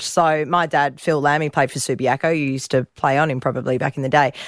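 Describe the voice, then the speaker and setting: The recording is very clean and the background silent. A woman talks in an Australian accent. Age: 30s. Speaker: radio host. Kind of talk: casual interview.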